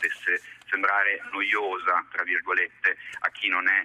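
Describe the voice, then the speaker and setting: A man's voice over noticeable background noise. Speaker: film director. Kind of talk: radio interview. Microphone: poor phone line.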